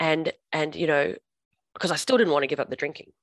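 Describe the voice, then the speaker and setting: A woman speaks with an Australian accent in a dry, close sound with no echo. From Australia, Perth. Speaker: recovered drinker and sobriety coach. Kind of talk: testimony. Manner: halting, many fillers.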